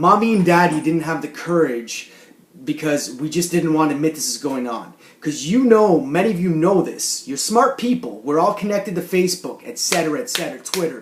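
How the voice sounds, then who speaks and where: A man talks at a fairly quick pace in a high voice with lively intonation. Noticeable background noise sits behind him. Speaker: video blogger. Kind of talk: monologue rant to camera.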